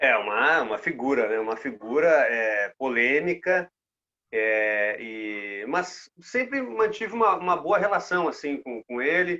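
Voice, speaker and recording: A man's bright, sharp, fairly high voice, very slow in pace, with very wide pitch swings. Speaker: sports reporter. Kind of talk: casual interview.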